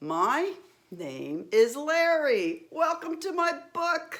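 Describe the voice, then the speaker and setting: A woman puts on a character voice with a high pitch. She speaks at a very slow pace. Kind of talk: bedtime story. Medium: read story.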